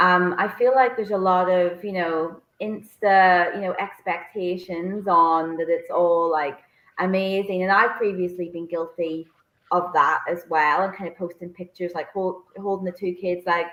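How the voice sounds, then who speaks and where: A woman speaks with a Northern Irish accent at a medium pitch. Her intonation is fairly even and her pace moderate. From Northern Ireland, Bangor, County Down. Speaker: co-author, working mother. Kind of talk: online interview. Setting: online video interview. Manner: halting, many fillers.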